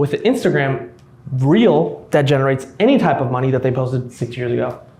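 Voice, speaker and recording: With noticeable background noise and audible room echo, a man talks at a fairly quick pace with lively intonation. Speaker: YouTube business coach. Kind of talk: live presentation to a room. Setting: room with live audience.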